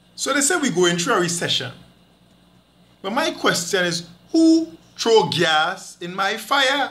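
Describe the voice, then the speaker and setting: A man with a Trinidadian accent projects a raised voice at a high pitch, bright and sharp in tone, animated, with very wide pitch swings. He talks at a fairly slow pace with long, frequent pauses. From Trinidad and Tobago. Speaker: Caribbean storyteller. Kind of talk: storytelling rant, comic monologue. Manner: animated, indignant, humorous; rhythmic, dialect-heavy delivery. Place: home room. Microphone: phone near.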